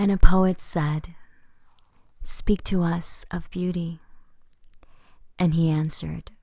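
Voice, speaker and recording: A soft-spoken woman at a very slow pace, with long, frequent pauses and big swings in loudness. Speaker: poetry reader. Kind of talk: ASMR poetry reading.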